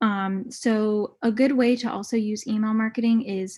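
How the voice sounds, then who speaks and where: A woman's fairly high, somewhat breathy voice at a fairly slow pace. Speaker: marketing guest speaker. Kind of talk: webinar presentation. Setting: video call.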